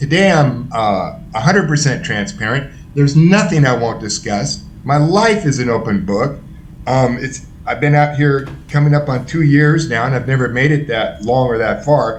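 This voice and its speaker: With an American accent and lively intonation, a man speaks amid noticeable background noise and audible room echo. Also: fairly high pitch for a man, moderate pace. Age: 60s. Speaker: former prisoner in recovery. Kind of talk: interview testimony. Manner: animated.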